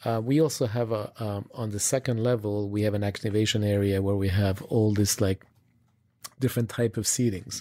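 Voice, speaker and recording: The man's tone is dark and mellow. He speaks at a moderate pace. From Switzerland. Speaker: retail design executive. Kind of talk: interview. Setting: recorded on location. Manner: halting, many fillers.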